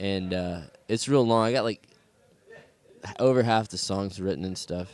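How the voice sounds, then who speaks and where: Speaking with a Southern US accent, a man keeps a moderate pace, a fairly low pitch and ordinary pitch variation. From US South, South Carolina. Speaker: musician, band leader. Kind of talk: interview. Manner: casual, halting with many fillers.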